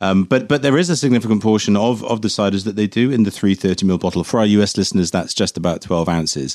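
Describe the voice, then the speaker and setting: Delivered at a very fast pace with hardly any pauses, the speech keeps a very even loudness and ordinary pitch variation in a very clean recording with a silent background. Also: man, fairly low pitch for a man. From Herefordshire, England. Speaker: cider podcast host. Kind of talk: casual chat, tasting.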